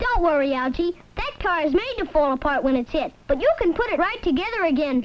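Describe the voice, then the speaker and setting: A put-on character voice, extremely high in pitch, at a fairly quick pace. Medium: voice reel. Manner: cheerful, salesmanlike.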